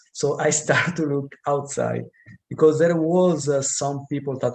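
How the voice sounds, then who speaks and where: A man's voice at a fairly slow pace. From Italy, Modena. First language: Italian. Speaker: professor. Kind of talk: interview. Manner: halting.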